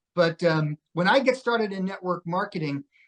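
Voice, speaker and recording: Ordinary pitch variation marks this fairly quick delivery. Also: man. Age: 60s. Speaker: network marketing podcast host. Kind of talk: casual interview chat.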